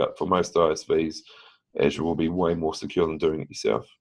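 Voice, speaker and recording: A man growls out a raspy, put-on character voice with a very deep, low pitch. His pace is fairly quick. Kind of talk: professional presentation.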